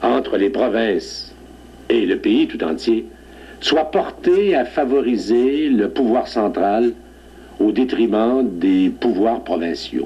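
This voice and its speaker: A man in a Beauce accent, at a very slow pace and very even loudness. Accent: Quebec French, Beauce. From Beauce, Quebec, Canada. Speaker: judge. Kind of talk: TV interview, historical reminiscence.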